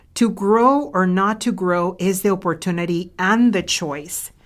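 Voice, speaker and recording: Speaking at a very slow pace with a non-native accent, a woman uses a medium pitch with ordinary variation, recorded very cleanly against a silent background. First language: not English. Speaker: leadership coach and author. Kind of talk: podcast monologue.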